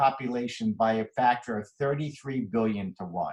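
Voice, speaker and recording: This man sounds somewhat breathy. He talks at a fairly quick pace. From Philadelphia, US. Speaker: physician. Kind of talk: lecture. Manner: fast.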